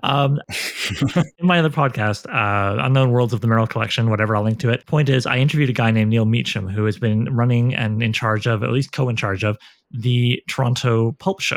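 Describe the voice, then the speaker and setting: Recorded dry and close with no echo, a man with an ordinary speaking voice talks at a fairly quick pace, medium in pitch with ordinary pitch variation. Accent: Canadian. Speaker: podcast host and novelist. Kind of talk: casual interview chat; scripted outro.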